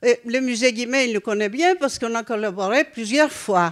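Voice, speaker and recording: A woman's high voice on a very clean recording with a silent background. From Greece. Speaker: former NGO president, audience member. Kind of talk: audience intervention at round table. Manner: halting.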